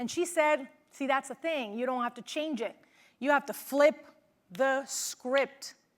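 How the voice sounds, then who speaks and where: A woman with a slight Venezuelan accent speaks in an animated, high voice with ordinary pitch variation. Her pace is fairly slow, with long, frequent pauses. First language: Spanish. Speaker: motivational speaker, former news reporter. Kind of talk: keynote speech.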